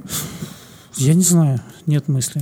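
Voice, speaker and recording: A man's voice with a fairly high pitch, ordinary pitch variation and a dark, mellow tone comes across as somewhat breathy. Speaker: podcast co-host. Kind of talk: casual chat.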